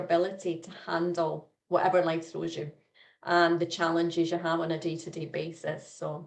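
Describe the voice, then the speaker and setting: Here is a woman with a normal speaking voice, pitched fairly low. She talks at a moderate pace. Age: 60s. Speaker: life coach. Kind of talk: interview.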